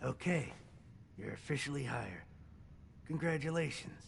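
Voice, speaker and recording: Using a put-on character voice, a man talks at a moderate pace with a raspy, fairly high pitch. Clear background noise can be heard. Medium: video game. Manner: blunt, brisk.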